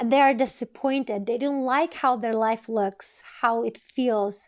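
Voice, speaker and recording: Speaking very slowly at a high pitch, a woman with a non-native accent keeps a fairly even intonation on a very clean recording with a silent background. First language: not English. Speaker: tarot reader. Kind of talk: tarot reading monologue. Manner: occasional stuttering and false starts.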